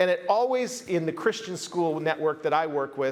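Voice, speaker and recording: This man's voice is high-pitched, with lively intonation. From United States. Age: 50s. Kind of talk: conference keynote talk.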